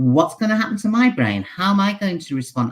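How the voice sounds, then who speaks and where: A woman with a British accent is heard on a very clean recording with a silent background. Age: 70s. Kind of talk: casual chat.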